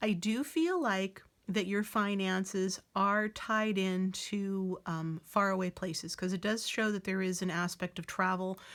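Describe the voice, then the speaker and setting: Her intonation stays fairly even as a woman talks at a medium pitch. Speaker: tarot reader. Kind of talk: tarot reading. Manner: filler words, hesitant.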